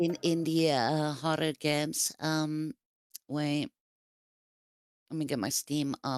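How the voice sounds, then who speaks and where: A non-native accent at a very slow pace, with long, frequent pauses and fairly even intonation, in a dry, close sound with no echo and a very clean recording against a silent background. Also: woman, very deep, low pitch for a woman. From Sweden. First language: Swedish. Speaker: streamer. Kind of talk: casual chat. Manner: halting, searching for words.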